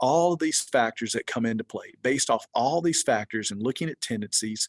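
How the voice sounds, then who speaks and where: With a Georgia accent, a man speaks in a dry, close sound with no echo against a quiet background. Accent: Georgia Southern US. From US, Georgia. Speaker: research organization executive director. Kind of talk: webinar presentation. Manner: animated.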